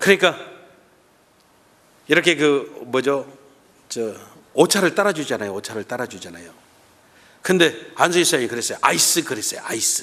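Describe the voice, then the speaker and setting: Bright and sharp with vocal fry, the voice moves at a moderate pace through very wide pitch swings and big swings in loudness, broken by long, frequent pauses. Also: man, fairly high pitch for a man. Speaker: guest pastor. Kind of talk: sermon. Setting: church.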